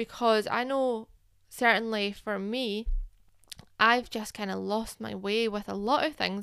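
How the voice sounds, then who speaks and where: Speaking at a moderate pace in a British accent, a woman uses a fairly high pitch and monotone, flat intonation. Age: 30s. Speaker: podcast host, business owner. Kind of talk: solo podcast monologue. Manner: casual, with fillers.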